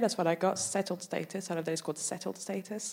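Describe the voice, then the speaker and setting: A woman with a French accent at a fairly quick pace. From France, Paris. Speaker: stand-up comedian. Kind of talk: stand-up. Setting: stage with audience.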